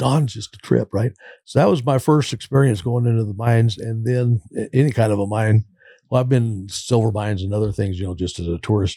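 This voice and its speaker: On a very clean recording with a silent background and a dry, close sound with no echo, a man with an American accent speaks fairly quickly at medium pitch, somewhat breathy and dark and mellow in tone, with ordinary pitch variation. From California. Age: 60s. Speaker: recovering addict. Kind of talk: interview testimony.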